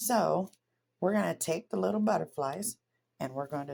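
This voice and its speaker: Speaking at a moderate pace, a woman with an American accent shows vocal fry. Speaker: crafter. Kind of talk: craft tutorial.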